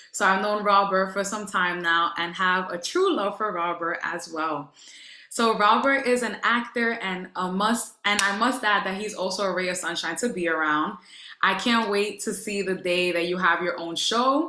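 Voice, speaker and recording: There is noticeable background noise as a woman of medium pitch speaks. She keeps a moderate pace and ordinary pitch variation. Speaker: podcast host. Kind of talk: podcast intro.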